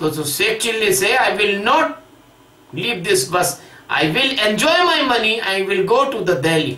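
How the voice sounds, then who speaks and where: A man speaks at a very slow pace in a raised, projected voice, with audible room echo. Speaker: spiritual teacher. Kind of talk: lecture. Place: home room.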